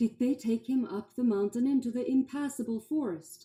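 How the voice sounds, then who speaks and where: This female-sounding voice is a put-on character voice pitched high for a woman. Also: moderate pace. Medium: read story.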